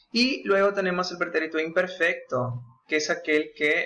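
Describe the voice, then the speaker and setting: At a moderate pace, a man talks in a bright, sharp tone with ordinary pitch variation. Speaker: Spanish teacher. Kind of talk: tutorial.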